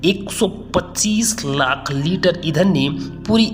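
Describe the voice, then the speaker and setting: This man's intonation is lively. Behind his voice, music can be heard. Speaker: YouTube narrator. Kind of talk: dramatic news story voiceover narration.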